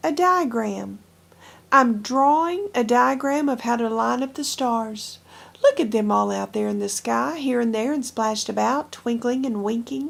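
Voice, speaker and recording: The put-on character voice sounds croaky and moves at a moderate pace. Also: woman, fairly high pitch for a woman. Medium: read story. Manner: pompous, self-important.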